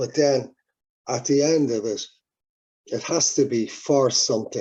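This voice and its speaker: Speaking fairly slowly in an Irish accent, a man has a fairly high pitch and a dark, mellow tone. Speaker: musician. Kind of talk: interview. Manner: halting.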